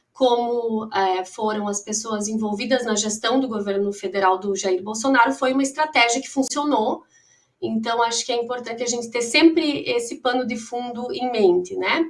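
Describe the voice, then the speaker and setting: The speaker has a Rio Grande do Sul accent. The pace is moderate and the pitch variation ordinary. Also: woman, fairly high pitch for a woman. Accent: gaúcho (Rio Grande do Sul). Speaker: lawyer and professor, victims' association representative. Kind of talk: panel talk.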